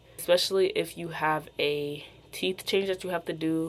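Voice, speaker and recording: Speaking with an American accent, the woman's pitch sits very deep and low. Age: 20s. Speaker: beauty and lifestyle vlogger. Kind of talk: casual vlog monologue. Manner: casual, filler-heavy with frequent 'like'.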